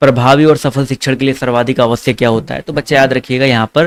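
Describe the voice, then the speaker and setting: This is a man with a medium-pitched voice. He has an unremarkable speaking voice, and the sound is dry and close with no echo. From Awadhi-speaking region of Uttar Pradesh, India. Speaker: online exam-prep teacher. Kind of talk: online exam-prep class. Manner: fast, conversational.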